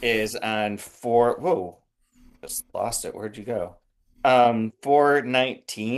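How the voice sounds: Over quiet surroundings comes a natural reading voice whose pitch shows ordinary variation.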